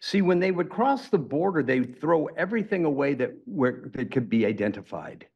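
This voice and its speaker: A man with an American accent talks at a moderate pace with hardly any pauses. His fairly high pitch makes very wide swings, and there is vocal fry. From Arizona. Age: 70s. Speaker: charity founder. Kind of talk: interview. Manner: halting.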